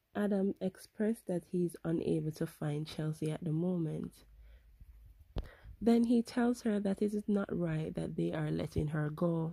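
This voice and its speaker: Somewhat breathy and dark, mellow in tone, a woman speaks at a fairly slow pace and fairly low pitch with ordinary pitch variation, the sound dry and close with no echo. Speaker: soap opera recap host. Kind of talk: episode recap narration.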